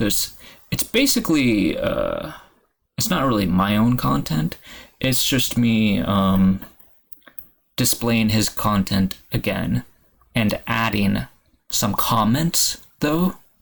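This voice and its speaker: A man speaks at a very slow pace with long, frequent pauses. His loudness stays very even. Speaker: YouTuber. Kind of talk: casual commentary on comments. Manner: halting, many fillers.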